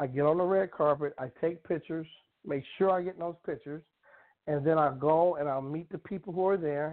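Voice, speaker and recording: Fairly quick and fairly even in intonation, a man uses a normal speaking voice at a fairly high pitch. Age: 50s. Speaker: comedian and actor. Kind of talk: casual interview.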